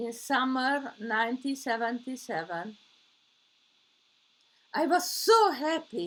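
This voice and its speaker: Pitched high, a woman speaks at a very slow pace with very wide pitch swings and long, frequent pauses. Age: 80s+. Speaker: storyteller. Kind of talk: personal story speech. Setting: online meeting.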